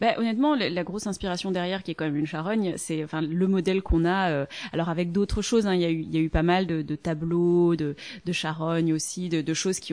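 Dark and mellow in tone, a woman's fairly low voice moves at a fairly quick pace with fairly even intonation. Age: 30s. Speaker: author and translator. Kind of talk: interview.

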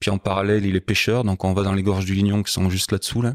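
Recorded very cleanly over a silent background, dry and close with no echo, a man with a very deep, low pitch talks at a fairly quick pace. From France, Haute-Loire. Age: 50s. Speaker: motorcycle guide and club president. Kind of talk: casual interview. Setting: at his home.

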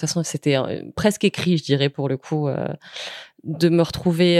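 A woman speaks at a fairly low pitch with fairly even intonation. The sound is dry and close with no echo, in a very clean recording with a silent background. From southern France, Camargue near Nîmes. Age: 30s. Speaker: author and journalist. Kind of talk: interview. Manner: hesitant, many fillers.

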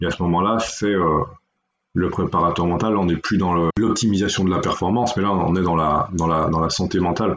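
A man's very deep, low-pitched voice with fairly even intonation. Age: 40s. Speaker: mental performance coach. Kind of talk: interview. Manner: halting.

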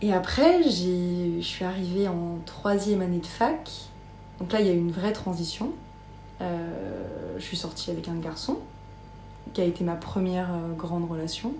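In a room with audible echo and noticeable background noise, a woman speaks fairly slowly at a fairly low pitch with fairly even intonation and long, frequent pauses. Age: 20s. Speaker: podcast guest. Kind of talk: personal interview testimony. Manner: hesitant, many fillers.

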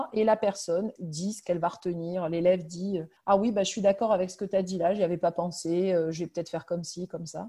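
With a dark, mellow tone and medium pitch, a woman talks with ordinary pitch variation over a quiet background. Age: 40s. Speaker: primary school head teacher. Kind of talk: interview.

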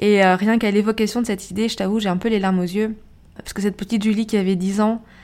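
Here a woman talks at a very fast pace. Her pitch is medium. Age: 40s. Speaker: podcast host and life coach. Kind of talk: solo podcast monologue. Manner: animated.

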